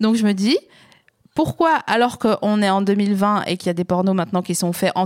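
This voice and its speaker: An ordinary speaking voice from a woman, medium in pitch and moderate in pace, in a dry, close sound with no echo and a very clean recording, silent background. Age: 30s. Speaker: podcast host. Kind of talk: casual chat.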